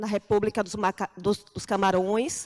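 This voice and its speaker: A woman speaks in a northeastern Brazilian accent. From Brazilian Northeast, Aracaju (Sergipe). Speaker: anthropologist, lecturer. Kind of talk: lecture. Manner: halting, with fillers.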